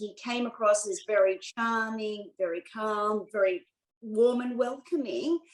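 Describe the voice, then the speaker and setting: Speaking at a fairly slow pace, a woman with an Australian accent uses a fairly high pitch with ordinary pitch variation. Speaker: US expat tax activist. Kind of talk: interview.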